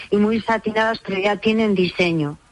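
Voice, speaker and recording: Her voice sits fairly high. The woman's pitch shifts in a normal way. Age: 60s. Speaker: umbrella repairer. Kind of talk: radio interview.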